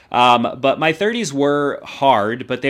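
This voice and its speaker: On a very clean recording with a silent background, a man with a plain, everyday voice speaks at a fairly slow pace and fairly high pitch, with ordinary pitch variation. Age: 40s. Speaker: YouTuber and podcaster. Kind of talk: personal reflection monologue. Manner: casual, with frequent fillers.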